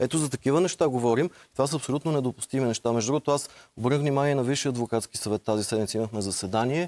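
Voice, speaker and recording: A man talks at a very fast pace. His pitch shows ordinary variation. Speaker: lawyer and former member of parliament. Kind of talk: TV interview. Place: studio. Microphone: lapel.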